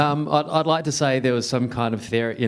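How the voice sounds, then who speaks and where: Speaking with a New Zealand accent, a man talks at a very fast pace. His intonation stays fairly even. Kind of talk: fireside chat interview. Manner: many fillers and repetitions.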